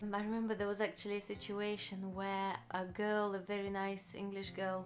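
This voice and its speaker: A woman in a Russian accent at a fairly slow pace, with noticeable background noise. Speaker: vlogger. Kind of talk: personal story, casual vlog. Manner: hesitant, with many fillers.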